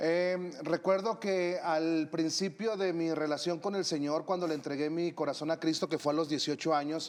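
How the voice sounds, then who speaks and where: A plain, everyday voice at a moderate pace with hardly any pauses. Intonation stays fairly even and loudness very even. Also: man, fairly high pitch for a man. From northern Mexico (Torreón, Coahuila). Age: 40s. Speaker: missionary and preacher. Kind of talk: interview.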